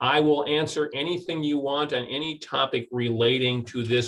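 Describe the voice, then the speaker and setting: A man speaks at medium pitch. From US Midwest, St. Paul, Minnesota. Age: 60s. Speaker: recruiter and career speaker. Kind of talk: webinar presentation and Q&A.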